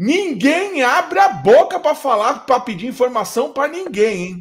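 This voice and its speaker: Pitched extremely high, a man speaks in an animated tone with very wide pitch swings. His pace is fairly slow. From Rio de Janeiro state, Brazil (Teresópolis). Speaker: podcast host. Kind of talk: casual chat.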